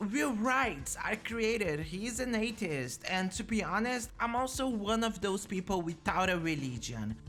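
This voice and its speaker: Speaking with a non-native accent, a woman uses a medium pitch with very wide pitch swings at a fairly slow pace. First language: not English. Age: 20s. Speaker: gaming YouTuber. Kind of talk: scripted video narration.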